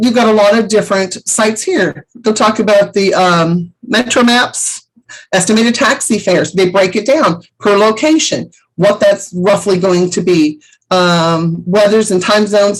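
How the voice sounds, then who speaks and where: A woman's normal speaking voice, medium in pitch, at a fairly slow pace, with ordinary pitch variation and very even loudness. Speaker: travel agent vendor trainer. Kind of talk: training webinar.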